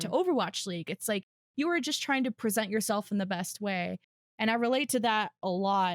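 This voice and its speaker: Recorded dry and close with no echo, a woman with an unremarkable speaking voice talks at a fairly quick pace and a fairly high pitch. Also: lively intonation. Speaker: Overwatch tier-two play-by-play commentator. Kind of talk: podcast interview answer, conversational.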